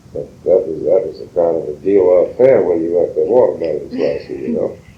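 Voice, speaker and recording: In a South Carolina Lowcountry accent, a man speaks at an extremely high pitch with monotone, flat intonation. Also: fairly quick pace. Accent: Southern US, South Carolina Lowcountry. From Colleton County, South Carolina. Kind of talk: interview answer.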